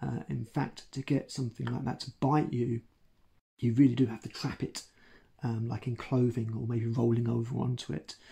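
Somewhat breathy and dark, mellow in tone, a man speaks at a moderate pace against a quiet background. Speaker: educator. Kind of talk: educational talk to camera. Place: home room.

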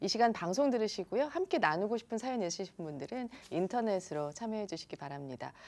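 Very wide pitch swings run through very fast speech with hardly any pauses. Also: woman. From South Korea. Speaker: radio announcer. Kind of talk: interview. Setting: studio. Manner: formal. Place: studio.

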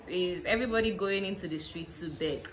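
A woman speaks with a fairly low pitch and a fairly bright tone. Her pace is fairly slow.

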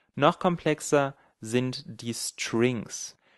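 An unremarkable speaking voice from a man, medium in pitch with ordinary pitch variation, in a dry, close sound with no echo and a quiet background. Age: 20s. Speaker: programming tutorial creator. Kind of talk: tutorial.

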